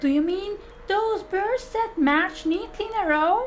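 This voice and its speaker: Loud and squeaky, a woman in a put-on character voice speaks at a fairly slow pace with an extremely high pitch over clear background noise. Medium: read story. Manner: loud, hearty.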